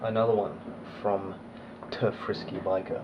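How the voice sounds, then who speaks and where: Noticeable background noise runs under this recording. The speaker is a man in an English accent. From Australia (raised there, born abroad). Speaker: motovlogger. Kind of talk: casual Q&A vlog.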